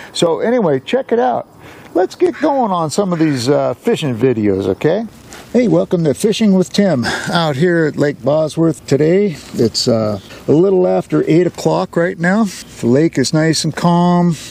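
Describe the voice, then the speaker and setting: A man with an American accent speaks at a high pitch with very wide pitch swings, very even loudness and a moderate pace. The sound is dry and close with no echo, though noticeable background noise is present. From US Pacific Northwest, Washington. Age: 70s. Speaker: fishing vlogger. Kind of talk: casual vlog narration. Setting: outdoors on a boat on a lake. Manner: relaxed, casual with fillers.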